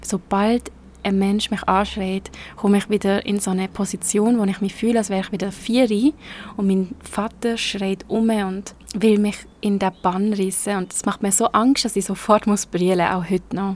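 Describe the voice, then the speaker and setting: A woman speaks at a moderate pace in a medium pitch, her intonation flat and monotone. Background noise is noticeable. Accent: Swiss. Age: 20s. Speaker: podcaster. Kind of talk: personal monologue. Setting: outdoors. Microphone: laptop mic under an umbrella.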